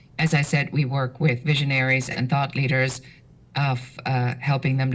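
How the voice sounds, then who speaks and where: The voice carries a German accent and is somewhat breathy. Delivery is monotone and flat, at a fairly quick pace. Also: woman. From Germany. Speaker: business strategist. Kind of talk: podcast interview. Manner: direct, assertive.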